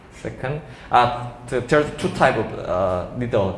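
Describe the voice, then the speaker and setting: A man with a Korean accent speaks at a medium pitch with lively intonation, with audible room echo and noticeable background noise behind him. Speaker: doctor giving a seminar lecture. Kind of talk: lecture. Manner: halting.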